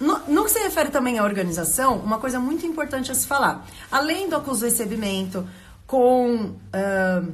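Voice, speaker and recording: With an animated tone, a woman speaks at a high pitch with very wide pitch swings, and audible room echo surrounds her. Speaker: lawyer running a court correspondent service. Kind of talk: live stream talk to viewers. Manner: fast.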